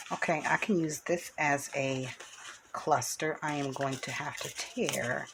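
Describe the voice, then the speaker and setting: A woman speaks at a very slow pace with a very deep, low pitch. Background noise is noticeable. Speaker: craft channel host. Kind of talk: craft tutorial. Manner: casual, chatty.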